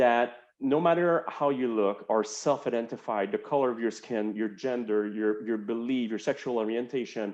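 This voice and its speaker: Medium-pitched male speech with a French Canadian accent at a moderate pace, hardly any pauses, against a quiet background. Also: ordinary pitch variation. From Quebec, Montreal. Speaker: healthcare executive. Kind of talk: interview.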